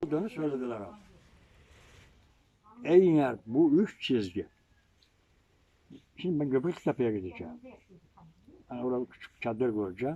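A man speaks at a moderate pace and medium pitch in a dark, mellow tone, pausing long and often. His pitch swings very widely and his loudness varies greatly. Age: 80s+. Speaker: amateur historian, village ethnography collector. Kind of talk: informal talk to visitors.

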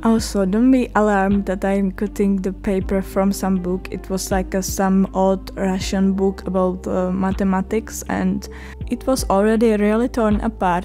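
A woman speaks with a Czech accent. Music plays in the background. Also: moderate pace. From Czech Republic. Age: young. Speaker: art student. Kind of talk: art vlog voiceover.

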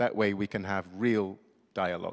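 Against a quiet background, a man speaks in an ordinary speaking voice. His pitch is fairly low and his intonation fairly even. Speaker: founder of business dialogue initiative. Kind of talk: formal speech. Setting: stage with audience. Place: hall. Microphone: handheld.

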